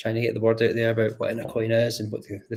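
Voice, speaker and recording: Somewhat breathy, a man with a Scottish accent and medium pitch speaks at a very fast pace. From Scotland. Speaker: crypto community builder. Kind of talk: casual chat. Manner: halting.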